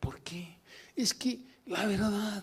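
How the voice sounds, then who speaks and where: A man speaks in an animated tone with a high pitch. His pace is fairly slow. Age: 70s. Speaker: pastor. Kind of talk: sermon.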